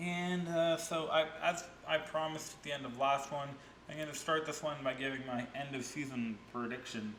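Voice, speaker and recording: Amid noticeable background noise and audible room echo, a man speaks slowly at a fairly high pitch with ordinary pitch variation. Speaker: reaction video host. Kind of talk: casual reaction commentary.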